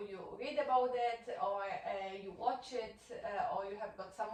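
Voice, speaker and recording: A woman speaks with a Polish accent at a fairly high pitch, her pitch varying in an ordinary way. Noticeable background noise and audible room echo fill the recording. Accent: Polish accent with French-sounding R. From Poland. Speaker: workplace trainer. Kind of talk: training session. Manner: halting, many fillers.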